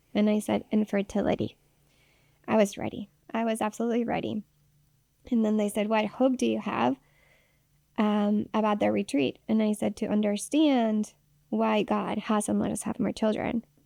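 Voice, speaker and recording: A woman with a Spanish accent speaks in a fairly high pitch with a dark, mellow tone and fairly even intonation, at a moderate pace with long, frequent pauses. The sound is dry and close with no echo, on a very clean recording with a silent background. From Mexico City, Mexico. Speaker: nurse and nonprofit founder. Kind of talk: interview, personal story. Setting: radio studio. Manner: halting, many repetitions.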